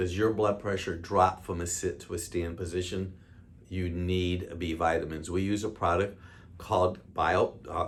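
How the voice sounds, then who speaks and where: Speaking at a fairly slow pace, a man with an American accent has a very deep, low pitch, a somewhat breathy quality and monotone, flat intonation. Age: 60s. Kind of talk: health talk to camera. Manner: casual, conversational.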